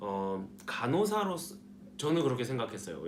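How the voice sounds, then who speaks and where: A man speaking at a fairly slow pace with very wide pitch swings, in audible room echo. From South Korea. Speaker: nursing student vlogger. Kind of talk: casual vlog talk. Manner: hesitant, many fillers.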